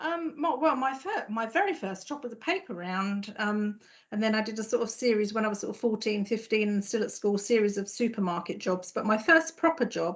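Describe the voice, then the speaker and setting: With a southern English accent, a woman speaks at a fairly quick pace in a fairly high pitch against a quiet background. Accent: non-Norfolk southern English. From southern England, Surrey. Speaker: health service director. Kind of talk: podcast interview. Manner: hesitant, frequent fillers and repetitions.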